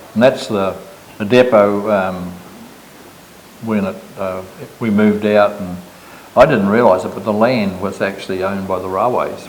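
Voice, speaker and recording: With long, frequent pauses and big swings in loudness, a man speaks in a fairly low pitch and monotone, flat intonation amid audible room echo and noticeable background noise. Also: moderate pace. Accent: New Zealand. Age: 80s+. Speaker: business owner. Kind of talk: casual chat.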